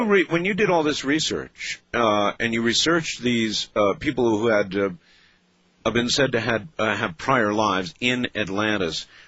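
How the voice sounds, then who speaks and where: A plain, everyday voice at a moderate pace, with lively intonation and very even loudness. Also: man, medium pitch for a man. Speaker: radio talk show host. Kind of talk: late-night radio interview.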